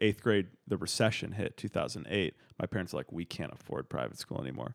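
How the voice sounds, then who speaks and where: Vocal fry runs through very fast speech on a very clean recording with a silent background. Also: man. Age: 20s. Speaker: improv student. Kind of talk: casual chat.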